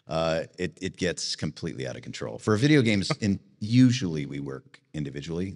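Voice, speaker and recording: Very deep and low in pitch with vocal fry, a man talks at a fairly quick pace with hardly any pauses, his pitch swinging very widely and his loudness rising and falling a lot. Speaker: voice actor. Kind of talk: interview answer.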